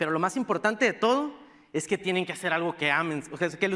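Speaking at a very fast pace with lively intonation, a man with a high pitch and a northern Mexican accent talks over a quiet background. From northern Mexico (Sonora, Baja California). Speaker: tech startup program director, conference speaker. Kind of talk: conference talk. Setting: stage with audience. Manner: casual, informal. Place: stage.

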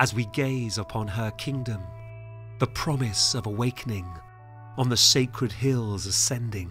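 Music plays in the background as the speaker goes at a fairly slow pace with ordinary pitch variation. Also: man. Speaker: performance poet. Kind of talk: poetic film trailer narration.

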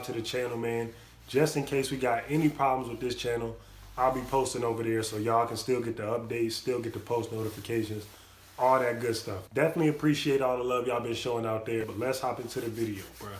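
Amid light background noise and audible room echo, a man speaks at a very fast pace. His intonation stays fairly even. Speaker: reaction youtuber. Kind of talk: casual vlog chat. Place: home room. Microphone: phone near.

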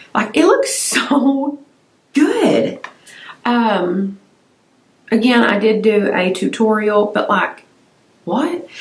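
A woman's relaxed tone and lively intonation, with long, frequent pauses and audible room echo. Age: 40s. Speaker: beauty YouTuber. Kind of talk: casual vlog-style product review. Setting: home filming room. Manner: relaxed, chatty. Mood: enthusiastic, chatty. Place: home room.

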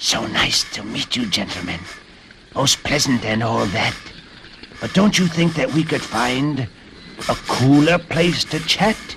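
A put-on character voice with hissing, at a fairly slow pace with long, frequent pauses over clear background noise. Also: man, fairly high pitch for a man. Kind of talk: formal, genteel. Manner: hissing, polite.

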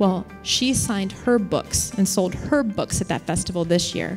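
At a moderate pace, the speaker uses lively intonation with an American accent, faint music playing in the background. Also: woman. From US small town. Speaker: keynote speaker. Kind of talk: keynote speech mixed with interview. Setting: conference stage with audience. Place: hall. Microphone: handheld.

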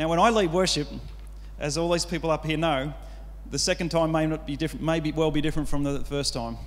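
A man's fairly high pitch at a fast pace, with fairly even intonation

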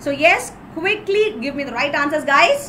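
A woman speaks in a South Indian accent with a high voice. Light background noise is present. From Kerala, India. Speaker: exam-prep teacher. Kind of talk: live online lecture. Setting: live video stream. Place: home room. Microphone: webcam.

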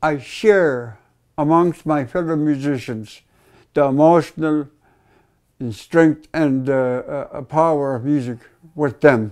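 Against a quiet background, a man with a fairly high pitch talks at a very slow pace, leaving long, frequent pauses. His loudness swings widely while his pitch shows ordinary variation. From Interior Alaska. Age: 70s. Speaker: guitarist and singer. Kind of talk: interview answer. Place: home room.

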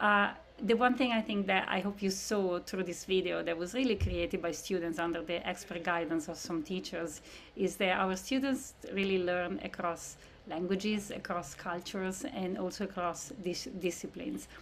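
Ordinary pitch variation marks a woman's speech at a moderate pace. Behind her is light background noise. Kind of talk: presentation to prospective parents. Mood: warm, slightly emotional. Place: home room.

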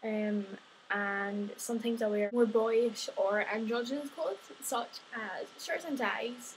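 A woman with a Scottish accent, fairly high in pitch, at a fairly slow pace, with light background noise. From Scotland. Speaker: vlogger. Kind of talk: casual vlog monologue. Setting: home video recording. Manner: animated. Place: home room. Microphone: webcam.

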